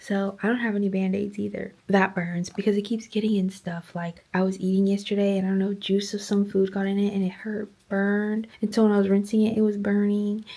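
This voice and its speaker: Whispering at a fairly quick pace, the speaker leaves hardly any pauses. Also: woman. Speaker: vlogger, new mom. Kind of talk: casual vlog monologue. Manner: chatty.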